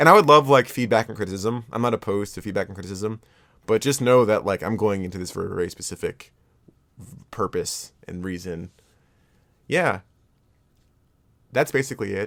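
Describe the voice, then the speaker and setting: Delivery runs at a fairly quick pace with ordinary pitch variation and big swings in loudness. Long, frequent pauses break it up. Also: man, fairly low pitch for a man, very clean recording, silent background. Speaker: video essayist and artist. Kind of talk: video essay outro, off-script talk. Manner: fast, motor mouthy; halting, many filler words and repeats.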